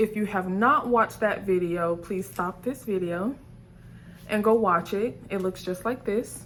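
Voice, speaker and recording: A woman speaks at a fairly slow pace in a medium pitch. Her pitch varies in an ordinary way against noticeable background noise. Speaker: nail beauty YouTuber. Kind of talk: casual unboxing vlog. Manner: hesitant, many fillers.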